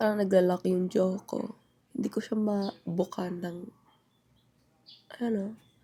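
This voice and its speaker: A woman speaks at a medium pitch in a dark, mellow, somewhat breathy tone. Her fairly even intonation moves at a fairly slow pace with long, frequent pauses. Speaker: lifestyle vlogger. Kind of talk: casual vlog talk. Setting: at home. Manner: chatty, halting with fillers.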